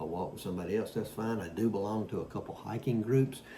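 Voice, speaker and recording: A fairly low-pitched man with ordinary pitch variation speaks fairly quickly while noticeable noise fills the background. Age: 60s. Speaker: fitness vlogger. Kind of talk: casual talk to camera. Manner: halting with many fillers.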